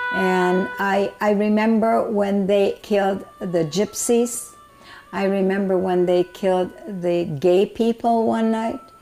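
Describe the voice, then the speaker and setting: Over music in the background, a woman speaks at a very slow pace with lively intonation and very even loudness. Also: medium pitch for a woman. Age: 90s. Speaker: Holocaust survivor. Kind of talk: interview answer.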